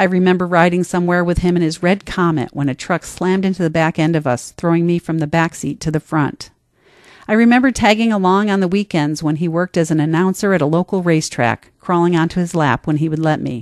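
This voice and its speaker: In a dry, close recording with no echo, a woman with an American accent and fairly low pitch talks at a very fast pace with ordinary pitch variation. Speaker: essayist and podcast host. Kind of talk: reading aloud personal essay. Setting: studio.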